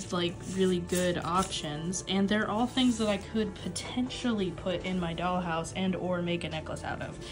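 Clear music plays behind a woman with a fairly low pitch. She talks at a moderate pace. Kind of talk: casual vlog chat. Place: home room. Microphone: phone near.

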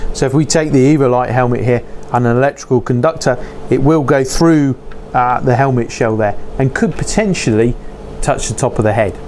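There is light background noise behind a man's voice. He speaks at a fairly quick pace with ordinary pitch variation. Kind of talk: tutorial. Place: workshop.

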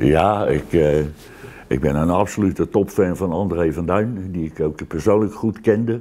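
A man's voice sits very deep and low, with a dark, mellow tone. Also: ordinary pitch variation, fairly slow pace. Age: 70s. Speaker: retired air force serviceman; interviewee. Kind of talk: interview. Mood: reflective, warm. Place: home room.

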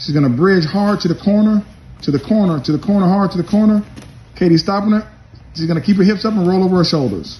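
Delivery comes at a very fast pace in a dark, mellow tone. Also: man, high pitch for a man, ordinary pitch variation. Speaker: judo coach narrating a demonstration. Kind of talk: instructional commentary. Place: gym. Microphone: phone near.

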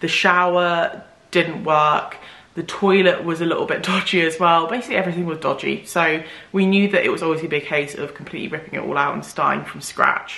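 This woman talks at a very fast pace with a fairly low pitch and fairly even intonation. Audible room echo surrounds her voice. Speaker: home renovation vlogger. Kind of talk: casual vlog chat. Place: home room.

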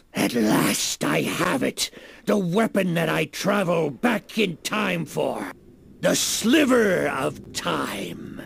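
A man with a raspy, high-pitched voice speaks at a very slow pace. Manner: gloating, triumphant.

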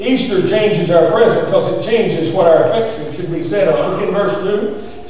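A man speaks with a high pitch. Strong room echo and light background noise fill the recording. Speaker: preacher. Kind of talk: sermon. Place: church.

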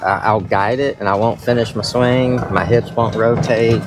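A man talks at a moderate pace with music in the background, the sound dry with no echo. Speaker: golfer vlogger. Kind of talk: casual vlog chat. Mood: reflective about his swing. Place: open country. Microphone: phone near.

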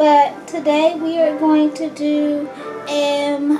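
Faint music plays in the background as a woman talks at a high pitch in a monotone, flat intonation. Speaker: pregnant mom vlogger. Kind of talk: casual vlog chat. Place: kitchen. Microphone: phone near.

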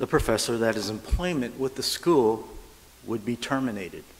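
A man's speech in an American accent. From US West Coast (Sacramento, California). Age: 60s. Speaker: Buddhist minister's assistant. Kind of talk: sermon. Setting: church. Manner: halting. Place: church. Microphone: lapel.

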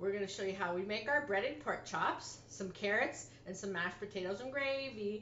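Over light background noise and audible room echo, a woman is speaking. Her pace is fairly quick, with ordinary pitch variation. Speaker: home cooking vlogger. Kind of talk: casual cooking tutorial chat. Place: kitchen. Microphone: camera far.

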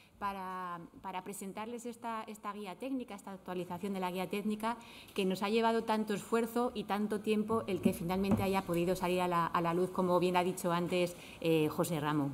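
A woman speaks at a fairly quick pace, her pitch medium and her intonation fairly even.

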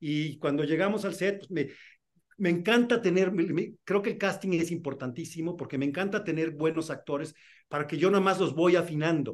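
At a moderate pace, a man speaks in a high pitch with ordinary pitch variation against a quiet background. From Mexico City. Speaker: film and TV director. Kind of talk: interview. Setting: video call. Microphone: video call.

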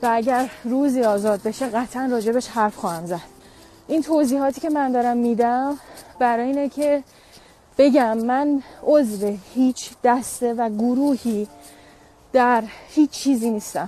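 A woman with a high voice speaks at a fairly slow pace with ordinary pitch variation. The sound is dry, with no echo. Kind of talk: emotional personal statement. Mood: upset, defiant, emotional. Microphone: earbuds.

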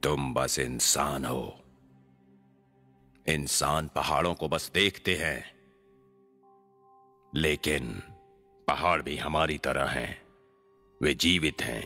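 With faint music in the background, a man with a very deep, low voice talks very slowly, leaving long, frequent pauses. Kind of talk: Hindi film dubbing. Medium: fan dub. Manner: playful, leering, rambling.

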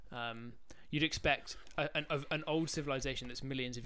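This man's voice has a bright, sharp tone and moves at a moderate pace. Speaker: podcast co-host. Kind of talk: casual podcast discussion. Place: home room. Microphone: studio mic.

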